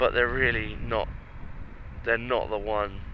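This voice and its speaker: This man has an English accent. He talks at a moderate speed. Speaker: motorcycle vlogger. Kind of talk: motorcycle test ride commentary. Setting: riding a motorcycle outdoors.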